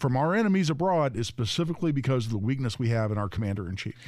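Very fast speech from a man at medium pitch, with lively intonation. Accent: American. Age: 60s. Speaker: gun rights attorney, fill-in radio co-host. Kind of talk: talk radio chat.

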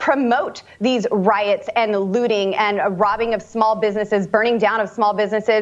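An unremarkable speaking voice from a woman, fairly high-pitched, at a moderate pace. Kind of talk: radio host patter, teasing the next guest before a break. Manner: upbeat, chatty and warm, laughing mid-sentence while promoting the show.

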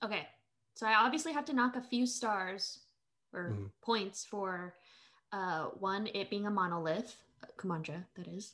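A woman speaks at a moderate pace with a medium pitch and a bright, sharp tone. Her intonation is lively, broken by long, frequent pauses. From Philippines, immigrant to US. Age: 20s. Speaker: social media creator and streamer. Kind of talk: casual chat.

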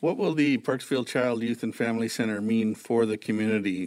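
In a very clean recording with a silent background, a man with a normal speaking voice talks fairly quickly at a medium pitch with fairly even intonation. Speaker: newspaper editor and podcast host. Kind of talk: interview.

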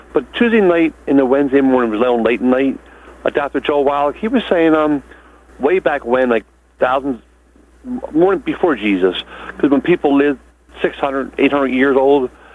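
A man talks at a moderate pace in a fairly high pitch, with ordinary pitch variation and very even loudness. Long, frequent pauses break up his speech, and there is noticeable background noise. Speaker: caller. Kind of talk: call-in question. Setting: phone call. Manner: halting. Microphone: static on the line.

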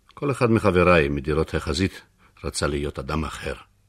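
Speaking at a moderate pace, a man uses a very deep, low pitch with vocal fry.

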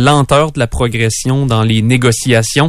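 With a plain, everyday voice, a man speaks at a moderate pace with fairly even intonation. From Quebec, Bellechasse region. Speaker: news reporter. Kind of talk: news review. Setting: radio studio.

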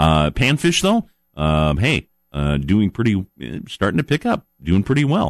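A man speaks at a fairly slow pace, his pitch swinging very widely. His loudness stays very even throughout. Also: fairly low pitch for a man. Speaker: outdoors radio show host. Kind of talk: casual radio talk. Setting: radio studio. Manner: halting, many fillers.

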